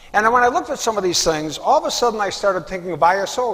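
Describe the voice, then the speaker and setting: A man at a very fast pace, with lively intonation and noticeable background noise. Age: 70s. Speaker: inventor and clinical professor. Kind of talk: interview testimony.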